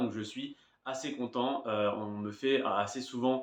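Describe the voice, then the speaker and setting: This man speaks in a monotone with flat intonation. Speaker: YouTuber. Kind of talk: casual vlog monologue, improvised. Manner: hesitant, many fillers.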